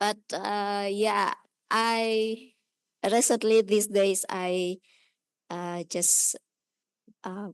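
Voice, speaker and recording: In an Indonesian accent, a woman with a medium pitch speaks in a monotone, flat way with long, frequent pauses against a quiet background. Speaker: audience member at a lecture. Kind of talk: audience comment in Q&A. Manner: halting, many fillers.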